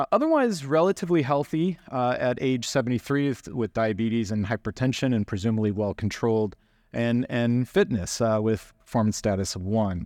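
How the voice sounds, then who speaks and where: Over a quiet background, a man with an unremarkable speaking voice talks at medium pitch and a fairly quick pace, the sound dry and close with no echo. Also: hardly any pauses. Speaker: oncologist presenter. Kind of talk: medical lecture. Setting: conference stage.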